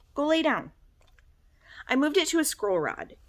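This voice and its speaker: A woman's high voice swings very widely in pitch as she talks at a moderate pace. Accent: Michigan. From Michigan. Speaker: cross-stitch vlogger. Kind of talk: casual chat.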